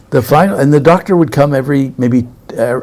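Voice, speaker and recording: A man speaks at a very fast pace. His pitch moves an ordinary amount. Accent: American. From US, New York. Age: 70s. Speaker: spiritual teacher. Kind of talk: interview conversation. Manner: halting.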